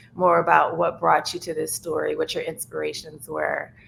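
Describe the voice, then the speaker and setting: A woman with a New Orleans accent speaks at a moderate pace in a bright, sharp tone, her pitch fairly low. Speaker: documentary filmmaker. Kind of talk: roundtable discussion. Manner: casual, filler-heavy.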